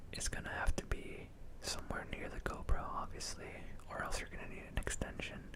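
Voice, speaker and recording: Whispered words come through noticeable background noise. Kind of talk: ASMR product review.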